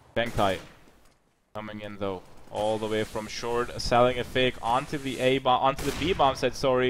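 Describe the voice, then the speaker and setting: A man speaks with a German accent at a medium pitch. His pace is moderate. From Germany, near Heidelberg. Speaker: esports caster. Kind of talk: live commentary. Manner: animated.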